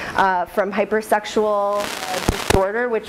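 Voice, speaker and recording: Amid noticeable background noise, a woman speaks with monotone, flat intonation. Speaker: postdoctoral researcher presenting study. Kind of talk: research presentation. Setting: room with live audience, no mic. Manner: loud.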